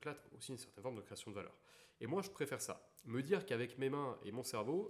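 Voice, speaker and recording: With very wide pitch swings, a man talks in a fairly high voice. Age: 20s. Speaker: engineering student and blockchain entrepreneur. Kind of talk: casual interview chat.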